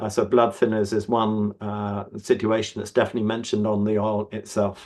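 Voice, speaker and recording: A man with a fairly low pitch speaks at a fairly quick pace. His intonation is monotone and flat. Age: 70s. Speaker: supplement company representative. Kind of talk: online Q&A session. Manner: halting, many fillers and restarts.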